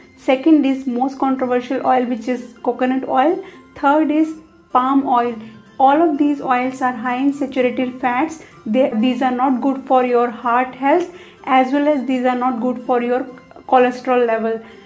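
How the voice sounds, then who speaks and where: At a moderate pace and in a monotone, flat intonation, a woman with a high pitch speaks over faint music in the background. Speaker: health tips creator. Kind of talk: casual tips explainer. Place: home room. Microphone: lapel.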